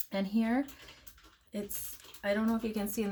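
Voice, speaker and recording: A woman speaks in a somewhat breathy voice. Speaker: crafting tutorial youtuber. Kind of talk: tutorial. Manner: casual, hesitant with fillers.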